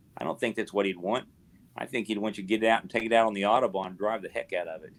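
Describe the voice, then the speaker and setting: Talking at a very fast pace, a man keeps his intonation fairly even while his loudness swings widely. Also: fairly low pitch for a man. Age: 60s. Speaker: physician. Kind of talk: casual chat. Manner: talkative.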